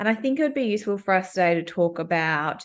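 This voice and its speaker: In an Australian accent, a woman speaks at medium pitch and a moderate pace with lively intonation against a quiet background. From Australia, Melbourne. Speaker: workplace coach. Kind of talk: casual chat.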